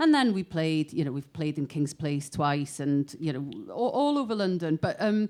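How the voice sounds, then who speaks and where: Her pace fairly slow, a woman speaks with very wide pitch swings. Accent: north Welsh. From north Wales, Bethesda. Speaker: musician. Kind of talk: panel discussion.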